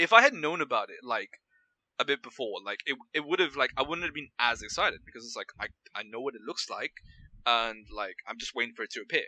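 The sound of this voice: Loud and quick, a man talks at a medium pitch with lively intonation and a bright, sharp tone. The sound is dry and close, with no echo.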